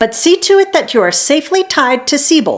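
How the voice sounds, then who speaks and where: A female-sounding, put-on character voice swings very widely in pitch from a high register at a fairly quick pace. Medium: read story. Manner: warm, careful.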